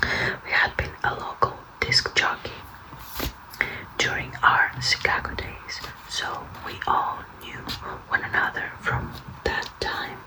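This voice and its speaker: Someone whispers at a very slow pace, leaving long, frequent pauses over noticeable background noise. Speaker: ASMR content creator. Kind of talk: audiobook-style reading, whispered. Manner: nervous, awkward, soft-spoken.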